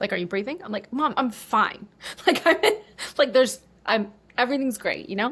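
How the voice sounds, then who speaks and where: Animated in tone, a woman with a New York accent talks at a moderate pace with lively intonation. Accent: American (New York). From US, New York, Cuban American family. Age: 30s. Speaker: online business coach and former travel vlogger. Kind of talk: casual interview chat.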